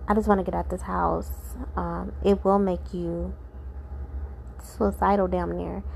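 With vocal fry and little pitch movement, a woman speaks at a fairly slow pace and a fairly low pitch.

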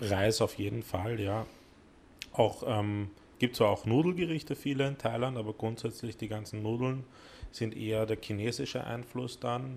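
Using a normal speaking voice, a man talks at a moderate pace with medium pitch and ordinary pitch variation. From Vienna, partly raised in South Korea. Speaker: cooking studio owner. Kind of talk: casual chat. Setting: cooking studio.

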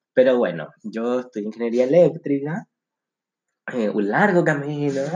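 Speaking with a Chilean accent, a man with a fairly high pitch keeps a moderate pace and lively intonation. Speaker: podcast co-host. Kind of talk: casual chat. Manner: animated.

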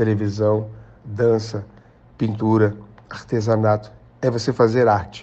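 A man's medium-pitched voice at a very slow pace. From Rio de Janeiro, Brazil. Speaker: actor and director. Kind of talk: interview.

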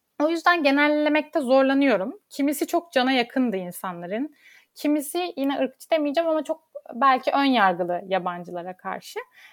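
A woman speaks at a moderate pace in a high voice, her pitch swinging very widely. The recording is very clean, with a silent background. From Turkey, Istanbul. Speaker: lawyer. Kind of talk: interview.

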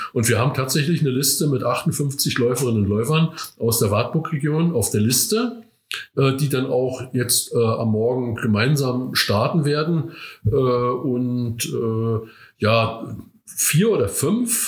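In a room with audible echo, a man at medium pitch speaks at a fairly slow pace, somewhat breathy, with very even loudness and ordinary pitch variation. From Rügen, northern Germany. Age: 60s. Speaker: veteran amateur runner. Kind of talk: interview. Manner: hesitant, many fillers.

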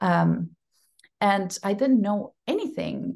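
The voice is somewhat breathy against a quiet background. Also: woman. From Costa Rica. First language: Spanish. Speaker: actress. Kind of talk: casual interview.

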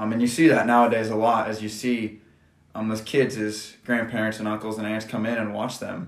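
A man with a Midwestern American accent talks at a fairly quick pace. His fairly low voice stays monotone and flat. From US Midwest, rural Nebraska. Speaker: podcast host, college student and coach. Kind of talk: casual chat.

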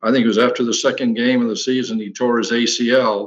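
This is a man with an unremarkable speaking voice. His medium pitch carries fairly even intonation. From Western New York, Batavia. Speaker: former college basketball player. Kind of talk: casual interview.

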